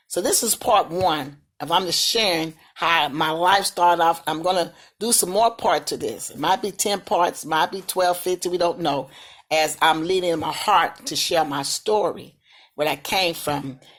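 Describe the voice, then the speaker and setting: A woman with a fairly low pitch and a slight Southern US accent speaks at a moderate pace with ordinary pitch variation. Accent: slight Southern country. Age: 60s. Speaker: vlogger sharing life story. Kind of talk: personal testimony. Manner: casual, repetitive.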